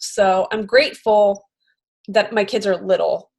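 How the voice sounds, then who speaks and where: This is a woman with a Philadelphia accent. Her voice is medium in pitch. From US Northeast, Philadelphia suburbs. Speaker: podcast host and comedian. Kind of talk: casual interview chat.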